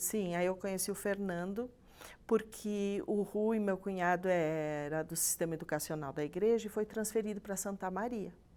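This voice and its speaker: A woman with a Rio Grande do Sul accent, medium in pitch and moderate in pace, on a very clean recording with a silent background. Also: ordinary pitch variation. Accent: gaúcho. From Rio Grande do Sul, Brazil. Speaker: church member guest. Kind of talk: casual chat.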